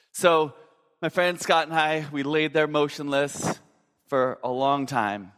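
Recorded very cleanly against a silent background, a normal speaking voice carries an American accent, its pitch moving in an ordinary way. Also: man, fairly high pitch for a man. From Minnesota, US Midwest. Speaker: pastor. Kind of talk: sermon.

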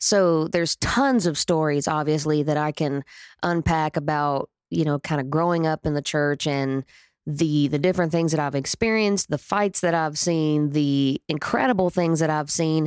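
On a very clean recording with a silent background and a dry, close sound with no echo, a woman with a Southern US accent speaks at a moderate pace in a very deep, low pitch, with ordinary pitch variation and very even loudness. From Oklahoma. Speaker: podcast host and country singer. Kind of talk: casual storytelling monologue. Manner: chatty, rambling.

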